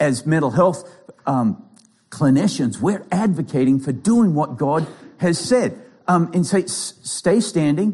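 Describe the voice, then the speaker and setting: Lively in intonation, a man talks at a fairly high pitch in a dark, mellow tone. His pace is fairly slow. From Australia. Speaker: pastor and clinical psychologist. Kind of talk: sermon.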